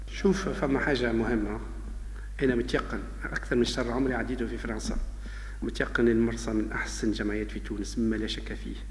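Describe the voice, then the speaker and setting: A man speaks at a very deep, low pitch with monotone, flat intonation. Light background noise is present. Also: moderate pace. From Tunisia. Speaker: sports club president. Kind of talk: interview. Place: office. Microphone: handheld.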